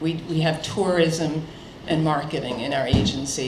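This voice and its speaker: A woman speaks at a moderate pace with a very deep, low pitch and a slight New York accent. Audible room echo and noticeable background noise surround her. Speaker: state economic development official. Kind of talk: keynote speech. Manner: casual, with many fillers and repetitions.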